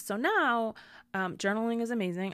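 On a very clean recording with a silent background, a woman talks at a moderate pace in a plain, everyday voice with a fairly high pitch. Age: 30s. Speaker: podcast host. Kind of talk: personal monologue. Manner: casual, with frequent fillers.

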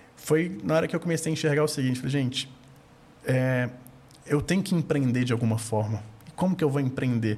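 This man's intonation is lively and his voice somewhat breathy. He talks at a moderate pace. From Minas Gerais, Brazil. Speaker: investment firm founder. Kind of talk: casual interview.

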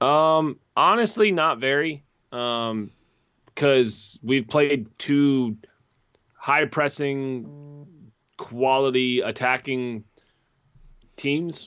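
Speaking very slowly in an American accent, a man leaves long, frequent pauses and uses ordinary pitch variation. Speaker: soccer podcast co-host. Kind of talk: casual chat.

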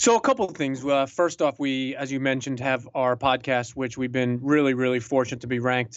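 Monotone and flat, a man speaks in a medium pitch at a fairly quick pace. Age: 30s. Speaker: motivational speaker and coach. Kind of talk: casual interview.

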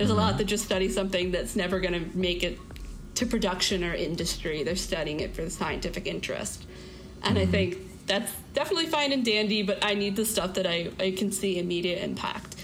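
Amid audible room echo and noticeable background noise, a woman speaks at a very fast pace with medium pitch and ordinary pitch variation. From Florida. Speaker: student. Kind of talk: interview.

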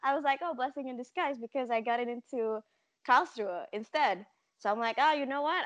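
Her voice is high-pitched, and this woman speaks with a bright, sharp tone. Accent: Indonesian. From Indonesia. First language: Indonesian. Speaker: podcast guest. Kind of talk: casual chat. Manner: talkative.

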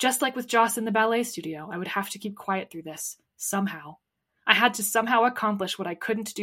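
The text is read aloud plainly. Pitch shifts in an ordinary way against a quiet background.

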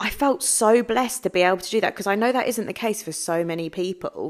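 A woman with an English accent and a fairly high pitch speaks at a moderate pace with lively intonation and an animated tone, in a very clean recording with a silent background. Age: 30s. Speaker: podcast host, mindset coach. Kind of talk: solo podcast monologue.

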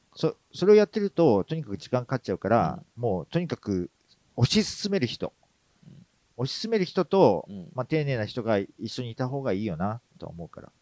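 In a dry, close sound with no echo, a man with a dark, mellow tone speaks at a medium pitch and a fairly quick pace, with very wide pitch swings and big swings in loudness. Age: 40s. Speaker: creative director and podcast co-host. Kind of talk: casual chat.

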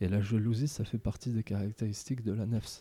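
Recorded in a dry, close sound with no echo, a man with a dark, mellow tone and medium pitch talks at a moderate pace with fairly even intonation. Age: 20s. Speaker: Sufi disciple and biographer. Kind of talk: interview.

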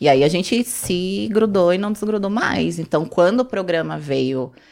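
Her voice sits fairly low, with vocal fry and very wide pitch swings. The woman speaks at a fairly slow pace. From São Paulo, of northeastern (Ceará) parents. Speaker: reality show contestant. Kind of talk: casual chat.

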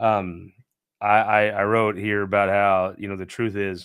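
A man with an American accent speaks in a fairly low, flat monotone at a moderate pace. The recording is very clean, with a silent background. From Southeast Missouri. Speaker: political talk show host and publisher. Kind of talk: solo political commentary. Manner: halting, many fillers and restarts.

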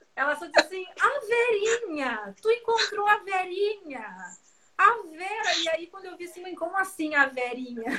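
At a fairly slow pace, a woman projects her raised voice in an animated, bright, sharp tone, her extremely high pitch swinging very widely and her loudness shifting greatly. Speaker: samba singer and live host. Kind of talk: casual chat. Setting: video call.

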